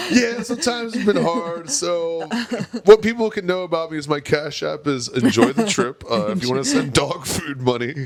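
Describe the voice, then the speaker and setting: Very wide pitch swings at a moderate pace, over noticeable background noise. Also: man, high pitch for a man. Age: 30s. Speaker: comedian. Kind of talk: casual chat.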